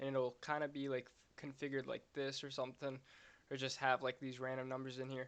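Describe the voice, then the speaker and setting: In a flat monotone at a medium pitch, a man speaks at a fairly quick pace. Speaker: game server script developer. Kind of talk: screen-recorded coding tutorial. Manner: somewhat monotone.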